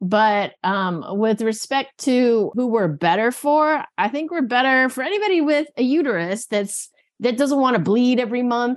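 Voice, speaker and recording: This woman has a high-pitched voice and lively intonation. She talks at a moderate pace with hardly any pauses. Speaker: physician and birth control company founder. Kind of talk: interview.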